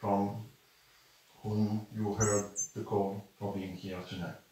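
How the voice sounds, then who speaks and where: A man with a French accent speaks at a fairly low pitch in a monotone, flat intonation, with audible room echo. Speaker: spiritual teacher, channeler. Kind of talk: spiritual talk to live audience. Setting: room with live audience. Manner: halting.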